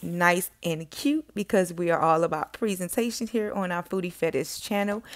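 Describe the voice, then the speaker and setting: Someone with a Miami accent speaks with ordinary pitch variation on a very clean recording with a silent background. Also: woman. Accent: Miami Southern. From Miami, Florida (Carol City, Miami-Dade). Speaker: cooking channel host, chef. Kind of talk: cooking tutorial. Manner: casual, impromptu.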